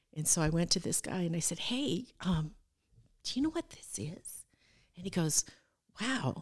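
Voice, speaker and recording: Speaking at a moderate pace in a very deep, low pitch, a woman with an American accent shows vocal fry and very wide pitch swings. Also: dry, close sound with no echo. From northwestern Iowa and Arizona. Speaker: minister's wife. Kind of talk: testimony.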